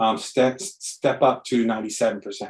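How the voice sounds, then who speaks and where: The speaker is a man. His voice falls at a medium pitch. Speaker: business development presenter. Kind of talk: webinar presentation. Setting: online webinar. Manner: fast; animated.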